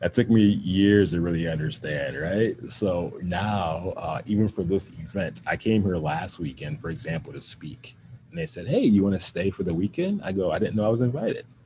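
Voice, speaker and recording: The voice has a dark, mellow tone, is somewhat breathy, and moves at a moderate pace with lively intonation. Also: man, fairly low pitch for a man. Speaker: wellness educator and teacher. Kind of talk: workshop answer to audience question.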